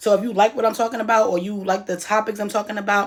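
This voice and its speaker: Loud and flat in monotone intonation, a woman speaks at a very fast pace. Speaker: YouTuber. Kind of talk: casual vlog monologue. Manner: halting.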